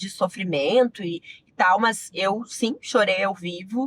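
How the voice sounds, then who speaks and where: A woman with a southern Brazilian accent sounds somewhat breathy, using ordinary pitch variation in a dry, close recording with no echo. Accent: gaúcho Brazilian Portuguese, retained. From Rio Grande do Sul, Brazil (Giruá). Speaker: sports journalist. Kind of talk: interview conversation.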